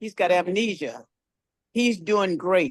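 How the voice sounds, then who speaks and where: A woman with an unremarkable speaking voice talks at a medium pitch and a moderate pace, with ordinary pitch variation. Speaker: caller giving testimony. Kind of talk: testimony.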